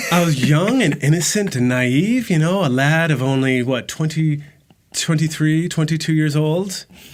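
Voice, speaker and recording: A man's plain, everyday voice at a fairly high pitch and moderate pace, with ordinary pitch variation and very even loudness. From United States. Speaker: podcast co-host. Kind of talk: casual chat.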